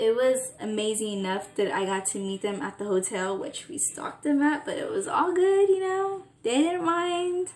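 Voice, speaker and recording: The voice makes very wide pitch swings and hardly pauses at all. Noticeable background noise can be heard. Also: woman, high pitch for a woman. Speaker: vlogger. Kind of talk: casual vlog talk. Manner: fast; stuttering.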